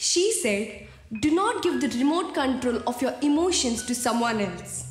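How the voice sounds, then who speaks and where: A woman's high-pitched voice at a moderate pace, with faint music in the background and audible room echo. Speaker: speaker. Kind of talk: motivational talk with a story. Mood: warm, expressive storytelling. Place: studio.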